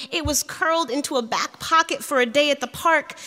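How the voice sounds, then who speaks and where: A woman speaks in a raised, projected voice. Her pitch is high. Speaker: poet. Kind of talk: poetry reading. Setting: stage with audience.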